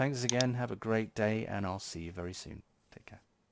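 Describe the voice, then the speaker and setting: A man with a British accent, on a very clean recording with a silent background. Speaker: tech YouTuber. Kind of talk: casual tech update video.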